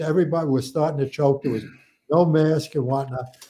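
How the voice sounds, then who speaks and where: A man with a New York accent speaks with fairly even intonation. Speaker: retired fire captain; podcast guest. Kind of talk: casual interview. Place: home room.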